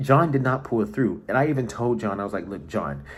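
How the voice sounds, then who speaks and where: Vocal fry, lively intonation and a fairly quick pace. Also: man. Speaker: online reality game contestant. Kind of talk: confessional video diary.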